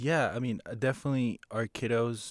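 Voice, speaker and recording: A moderate-paced voice with a Spanish accent, dry and close with no echo, on a very clean recording with a silent background. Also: man. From Ecuador, Quito. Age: young. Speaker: photographer and business owner. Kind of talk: casual chat. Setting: studio.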